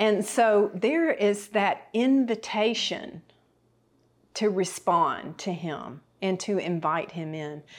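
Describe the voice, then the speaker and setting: A woman with a Southern US accent, medium pitch, lively intonation and a very slow pace, on a very clean recording with a silent background. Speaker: TV Bible teacher. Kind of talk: sermon. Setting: kitchen set.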